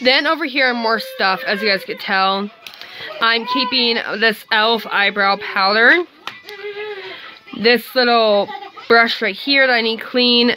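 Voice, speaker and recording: Amid noticeable background noise, a woman with a fairly high pitch and ordinary pitch variation speaks at a fairly slow pace, with long, frequent pauses. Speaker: beauty vlogger. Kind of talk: casual video talk.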